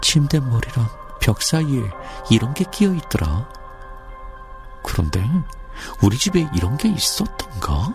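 Music plays behind a man who speaks in a calm tone, leaving long, frequent pauses. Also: fairly slow pace. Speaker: voice actor. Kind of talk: horror sound essay narration, audiobook-style reading. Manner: calm, low-key storytelling, ASMR-style.

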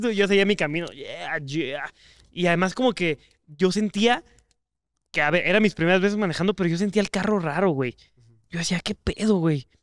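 A man with a high-pitched voice and a dry sound with no echo. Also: ordinary pitch variation, moderate pace, quiet background. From Mexico. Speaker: podcast co-host. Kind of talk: casual chat. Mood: relaxed, joking. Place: studio.

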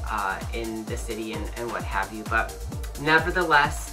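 Clear music plays behind a man who speaks at a moderate pace with an American accent. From Southern US. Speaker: group fitness instructor. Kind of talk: casual talk to camera. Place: home room. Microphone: phone near.

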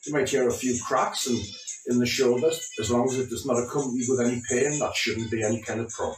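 Music plays in the background as a man talks at a fairly quick pace with audible room echo. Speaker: fitness instructor. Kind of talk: exercise class instruction. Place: home room. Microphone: camera far.

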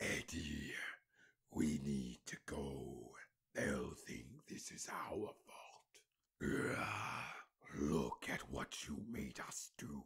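A put-on character voice from a man, very deep and low, raspy and menacing in tone, at a very slow pace with long, frequent pauses

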